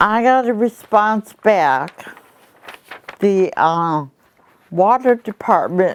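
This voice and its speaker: The speaker talks at a very slow pace with long, frequent pauses. The voice has an Upper Midwest accent and ordinary pitch variation. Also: woman. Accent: Upper Midwest American. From Milwaukee, Wisconsin. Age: 70s. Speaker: retired federal government worker. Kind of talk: appeal to camera for donations.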